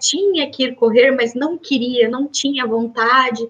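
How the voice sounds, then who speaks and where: Talking at a fairly slow pace, a woman has a high pitch and ordinary pitch variation. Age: 30s. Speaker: medical doctor. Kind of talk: interview.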